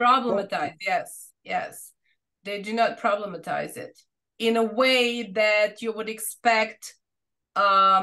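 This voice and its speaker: Very slowly and with a Serbian accent, a woman speaks in a fairly high, bright, sharp voice, with ordinary pitch variation and big swings in loudness. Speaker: researcher. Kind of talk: academic Q&A answer. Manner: halting.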